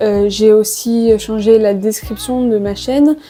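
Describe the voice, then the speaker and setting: Over music in the background, a woman with a fairly high pitch speaks with fairly even intonation. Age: 20s. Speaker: vlogger. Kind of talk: casual monologue to camera. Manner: hesitant with many fillers.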